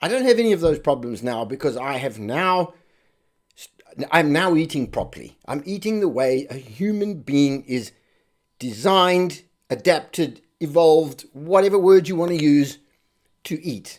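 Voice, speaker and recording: This man has an unremarkable speaking voice, pitched fairly high. He moves at a moderate pace with lively intonation. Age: 60s. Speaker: nutritionist, health video host. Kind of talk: direct-to-camera explainer. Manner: conversational.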